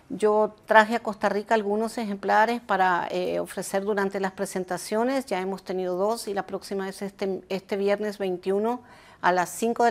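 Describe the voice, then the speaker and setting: Her intonation stays fairly even. The woman's pitch is medium. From Argentina, long life in Nicaragua. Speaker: journalist and author; journalist. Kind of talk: interview. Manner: halting, many fillers. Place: home room.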